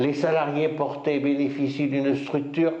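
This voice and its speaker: A man talks at a very slow pace, his voice carrying audible room echo amid noticeable background noise. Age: 60s. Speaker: company founder. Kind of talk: business presentation. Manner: formal.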